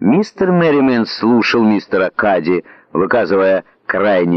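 A natural voice reading aloud

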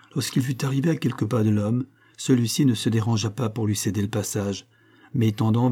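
A natural voice reads the words aloud.

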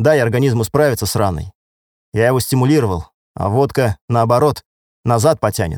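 Quiet background, a natural reading voice

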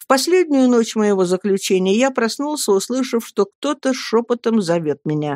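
At a moderate pace, a woman with a fairly high pitch and a slightly mellow tone uses lively intonation in a dry, close sound with no echo.

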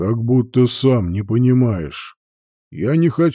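Against a quiet background, lively intonation colors the reading aloud in a natural voice.

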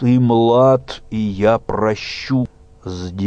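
The text is read aloud plainly. The delivery is plain reading aloud.

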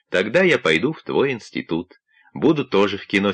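Over a quiet background, the text is read in an unforced reading voice.

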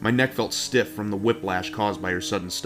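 With ordinary pitch variation, a natural voice reads aloud.

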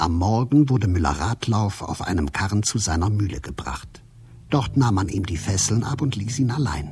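A man with a fairly low pitch speaks at a moderate pace with few pauses. His intonation is lively and his tone slightly mellow.

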